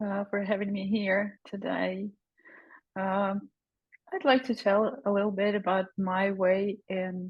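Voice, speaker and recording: A woman's medium-pitched voice with a Ukrainian accent. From Ukraine, Kyiv. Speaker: psychologist and breathing teacher. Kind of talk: personal testimony in a webinar. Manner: halting, many fillers.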